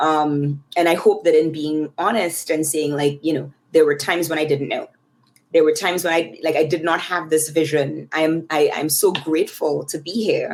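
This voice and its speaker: A woman's very deep, low voice in a Trinidadian accent, moderately paced with fairly even intonation. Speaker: tech research leader. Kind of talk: podcast interview. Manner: hesitant, many fillers.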